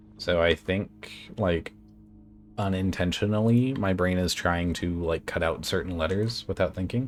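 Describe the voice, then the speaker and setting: A man's very deep, low voice at a fairly slow pace and very even loudness, with music in the background. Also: ordinary pitch variation. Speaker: gaming streamer. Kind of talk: live gameplay commentary. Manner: hesitant, many fillers; sometimes tongue-tied.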